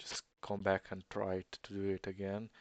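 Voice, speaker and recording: A man talks at a fairly low pitch and a fairly slow pace. The sound is dry and close with no echo, and the background is quiet. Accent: Eastern European. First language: not English. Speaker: gamer. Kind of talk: gameplay commentary. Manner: audible breathing in.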